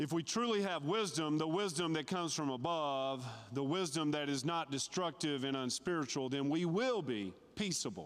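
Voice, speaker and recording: With an ordinary speaking voice, a man speaks at a moderate pace and a fairly high pitch, his intonation lively and his loudness very even, on a very clean recording with a silent background. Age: 50s. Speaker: lay preacher. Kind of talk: sermon. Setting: church.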